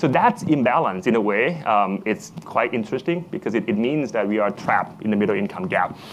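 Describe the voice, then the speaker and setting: A medium-pitched male voice at a very fast pace, with lively intonation and noticeable background noise. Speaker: smart city expert, conference speaker. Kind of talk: conference talk. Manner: halting, many fillers and repeats.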